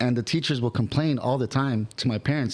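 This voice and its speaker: Recorded very cleanly against a silent background, a man talks at a moderate pace with medium pitch and fairly even intonation. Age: 40s. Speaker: musician (drummer). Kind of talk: casual chat. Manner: halting.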